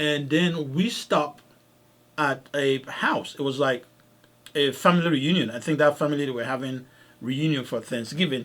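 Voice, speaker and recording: A fairly high-pitched man with a slight non-native accent, at a moderate pace and with fairly even intonation. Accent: slight foreign. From Africa. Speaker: podcast host, doctor. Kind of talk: casual podcast storytelling. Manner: repetitive, halting with restarts.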